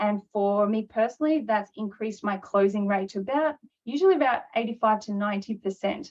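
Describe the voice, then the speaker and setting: Her voice is fairly high, and the woman talks at a very fast pace. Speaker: NLP trainer and business coach. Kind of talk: webinar presentation. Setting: online webinar.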